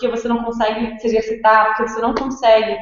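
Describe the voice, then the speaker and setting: Audible room echo surrounds the voice. A woman speaks at a fairly high pitch. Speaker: fitness instructor and gym co-founder. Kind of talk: webinar presentation. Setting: live online webinar.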